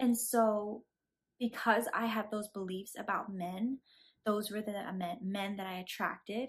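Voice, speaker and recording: A woman speaks at a fairly slow pace with a fairly high pitch. Her voice is somewhat breathy and her intonation fairly even. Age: 20s. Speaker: vlogger. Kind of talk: casual monologue. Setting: friend's living room. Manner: halting.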